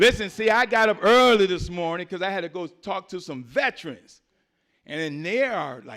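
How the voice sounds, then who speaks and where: Lively intonation and an animated tone come through at a moderate pace on a very clean recording with a silent background. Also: man. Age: 60s. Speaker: political candidate, navy veteran. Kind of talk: campaign speech at forum. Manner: animated, preacher-like.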